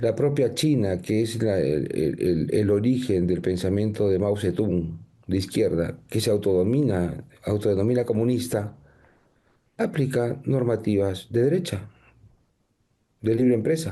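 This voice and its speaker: A man with a fairly low pitch speaks at a fairly slow pace, his dark, mellow tone holding very even loudness and ordinary pitch variation. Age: 60s. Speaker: political candidate. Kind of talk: TV interview.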